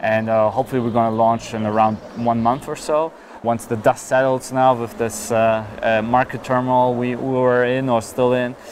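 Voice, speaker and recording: At a moderate pace with hardly any pauses, a man speaks at medium pitch in a monotone, flat delivery over noticeable background noise. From Germany (Berlin). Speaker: crypto startup founder. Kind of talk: interview. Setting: outdoors, walking.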